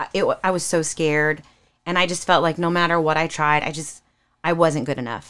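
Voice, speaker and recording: On a very clean recording with a silent background, a woman with an American accent speaks fairly quickly in a fairly low, monotone, flat voice. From California. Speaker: singer. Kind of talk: casual chat.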